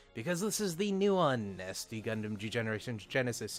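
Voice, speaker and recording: A man talks with lively intonation at a medium pitch. Music plays in the background. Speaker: video game let's player. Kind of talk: casual gameplay commentary.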